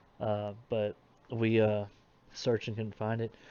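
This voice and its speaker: At a moderate pace, a man speaks. His intonation is flat and monotone. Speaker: streamer. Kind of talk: live stream gaming chat. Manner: halting.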